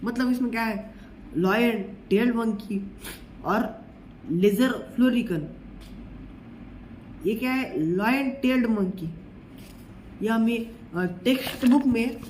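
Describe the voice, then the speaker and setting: A man with a Marathi accent, high-pitched, with ordinary pitch variation and audible room echo. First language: Marathi (speaking Hindi). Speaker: teacher. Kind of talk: lecture. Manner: halting.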